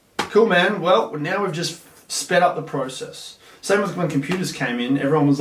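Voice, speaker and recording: Amid noticeable background noise and audible room echo, a man with a high pitch talks at a fairly quick pace with lively intonation. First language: Russian. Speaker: content creator, former maths teacher. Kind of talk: casual chat. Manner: animated.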